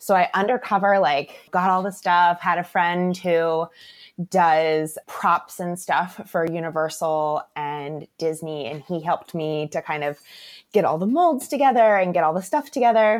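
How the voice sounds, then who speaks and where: On a very clean recording with a silent background, a woman with an American accent speaks fairly slowly at a fairly low pitch with ordinary pitch variation. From Florida, Tampa Bay area. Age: 30s. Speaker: small business owner, chocolatier. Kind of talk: interview. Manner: animated.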